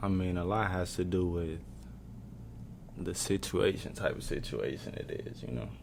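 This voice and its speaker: In a room with audible echo, a soft-spoken man with a very deep, low pitch talks at a moderate pace, with ordinary pitch variation and long, frequent pauses. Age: 20s. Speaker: college basketball player. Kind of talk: casual chat. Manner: quiet.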